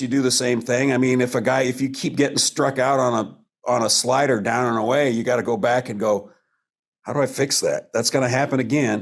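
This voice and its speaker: Here is a normal speaking voice with an American accent. The pace is fairly quick. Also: man. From US Pacific Northwest, eastern Washington. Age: 60s. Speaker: stand-up comedian. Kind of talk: interview.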